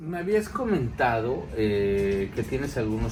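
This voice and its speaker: Over noticeable background noise and audible room echo, a man talks at a fairly low pitch and moderate pace with lively intonation. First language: Spanish. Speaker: channel host, interviewer. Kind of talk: interview. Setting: on a farm.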